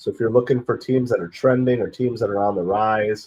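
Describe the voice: A man speaks at a fairly quick pace with fairly even intonation. His raspy voice has a slightly mellow tone and a slightly husky edge. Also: fairly low pitch for a man.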